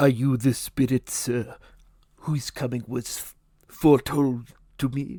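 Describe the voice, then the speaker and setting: In a put-on character voice, the speaker goes at a fairly slow pace with monotone, flat intonation, long, frequent pauses and big swings in loudness. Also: man, medium pitch for a man. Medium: read story.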